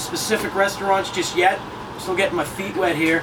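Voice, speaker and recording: A man with a Massachusetts accent talks at a very fast pace in a high voice with an energetic tone over noticeable background noise. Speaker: play-by-play radio announcer. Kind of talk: interview answer. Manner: energetic, exuberant.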